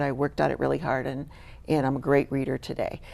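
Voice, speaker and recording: A woman's very deep, low voice with a dark, mellow tone, vocal fry and a very fast pace. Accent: American. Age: 60s. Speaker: charity worker and teacher. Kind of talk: interview testimony.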